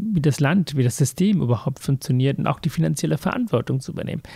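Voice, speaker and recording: Fairly high-pitched yet dark and mellow in tone, a man's somewhat breathy voice moves at a moderate pace with lively intonation. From Sri Lanka, raised in Hamburg from age 13. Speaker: heart surgeon and author. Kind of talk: interview, personal life story.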